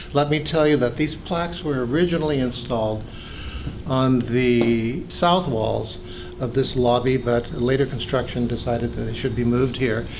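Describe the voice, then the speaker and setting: Speaking at a moderate pace with an American accent, a man of medium pitch is heard with audible room echo and noticeable background noise. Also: ordinary pitch variation. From California. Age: 70s. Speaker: pharmacy school associate dean. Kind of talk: oral history recollection. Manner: hesitant with fillers.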